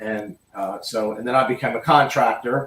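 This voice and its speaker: The pace here is moderate. It is an ordinary speaking voice. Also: man. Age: 60s. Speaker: angler and contractor. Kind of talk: casual interview.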